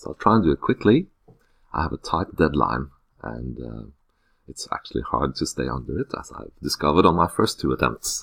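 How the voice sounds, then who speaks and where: A man with a Norwegian accent, very deep and low in pitch, with vocal fry, lively intonation, big swings in loudness and a fairly quick pace. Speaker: teacher. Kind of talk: unscripted screencast self-introduction. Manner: hesitant, many filler sounds.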